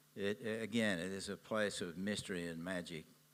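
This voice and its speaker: Bright and sharp in tone, the speaker talks very slowly with fairly even intonation and an Australian accent. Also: man. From Australia, Sydney. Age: 80s+. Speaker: businessman and environmental activist. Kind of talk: interview at a public event.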